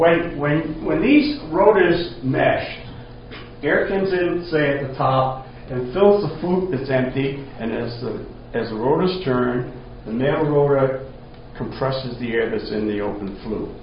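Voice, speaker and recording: Amid audible room echo and noticeable background noise, a man speaks at a fairly slow pace with lively intonation. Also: fairly high pitch for a man. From Rhode Island. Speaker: retired engineer. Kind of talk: talk to a group.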